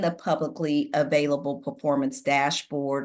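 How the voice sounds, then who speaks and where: A woman's moderate pace, set against a quiet background. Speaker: city staff presenter. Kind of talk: public meeting presentation. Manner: hesitant, many fillers.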